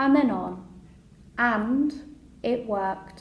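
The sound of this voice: Room echo is audible as a woman talks slowly at a fairly high pitch, with ordinary pitch variation.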